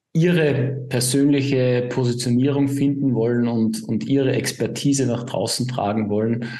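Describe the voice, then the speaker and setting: With a slight Upper Austrian accent, a man speaks in a monotone, flat intonation amid audible room echo. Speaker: positioning consultant. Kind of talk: interview.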